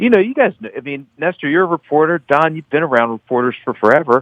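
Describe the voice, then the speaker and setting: A man speaks at a fairly high pitch with an American accent. The sound is dry and close, with no echo. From Baltimore, Maryland. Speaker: author and political reporter. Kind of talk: radio interview. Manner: animated, fast.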